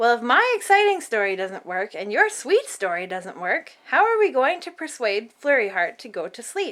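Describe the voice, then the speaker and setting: A woman puts on a high-pitched character voice. She speaks with hardly any pauses. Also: moderate pace. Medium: read story.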